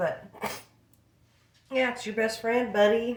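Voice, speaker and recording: This woman speaks with an American accent. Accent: country accent slips out at times. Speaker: vlogger and craft seller. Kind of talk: casual vlog monologue.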